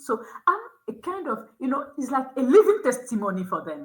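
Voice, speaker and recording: A woman with a non-native accent speaks in a high, bright, sharp voice that swings very widely in pitch. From Togo. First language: not English (English is her third language). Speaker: school admissions officer and youth education nonprofit founder. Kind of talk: interview conversation. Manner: halting, with frequent repetitions.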